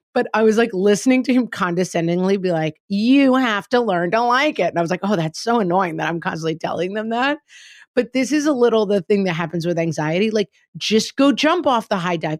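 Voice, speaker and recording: In a very clean recording with a silent background and a dry, close sound with no echo, a woman with a normal speaking voice talks at a fairly quick pace with lively intonation. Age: 40s. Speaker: podcast host, parent. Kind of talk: casual chat.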